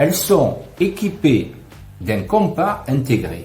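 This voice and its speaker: A man speaks very slowly with very wide pitch swings. Music plays in the background, and the room echo is audible. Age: 60s. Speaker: customer product tester. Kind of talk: product review. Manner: hesitant with fillers.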